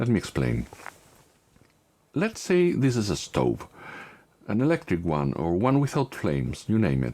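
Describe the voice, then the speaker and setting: A fairly slow delivery in a non-native accent, full of very wide pitch swings. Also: man. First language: not English. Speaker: tech YouTuber. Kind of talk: tutorial.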